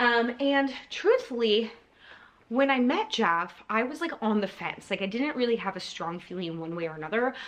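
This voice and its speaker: Lively intonation from a woman with a bright, sharp tone. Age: 40s. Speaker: YouTuber. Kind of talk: casual storytime monologue. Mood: warm, reflective. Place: home room. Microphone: phone near.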